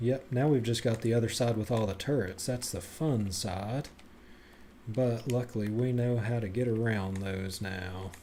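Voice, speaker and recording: A man speaks at a moderate pace with a dark, mellow tone. His voice is somewhat breathy, and his intonation stays fairly even. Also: medium pitch for a man. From Tennessee. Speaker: video game streamer. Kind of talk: live gameplay commentary.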